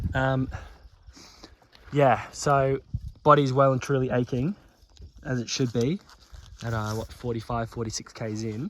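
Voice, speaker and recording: With an Australian accent, the speaker moves at a fairly slow pace, leaving long, frequent pauses, and the pitch varies in an ordinary way. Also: man, medium pitch for a man. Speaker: ultramarathon runner, vlogger. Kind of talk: casual vlog commentary. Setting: outdoors at night on a roadside.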